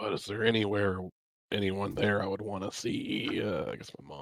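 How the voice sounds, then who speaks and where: This raspy, put-on character voice keeps a monotone, flat intonation at a moderate pace while its loudness swings widely. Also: man, fairly low pitch for a man. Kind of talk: casual, hesitant.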